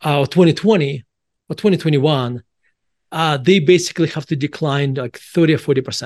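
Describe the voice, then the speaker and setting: Spoken in a Russian accent with ordinary pitch variation, the voice has a dry, close sound with no echo over a quiet background. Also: man. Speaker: author and value investor. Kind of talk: casual interview.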